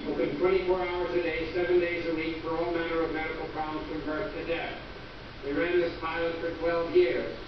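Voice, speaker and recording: Over noticeable background noise and strong room echo, a man talks at a fairly quick pace. His pitch is high. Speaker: visiting lecturer physician. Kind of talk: lecture. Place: hall.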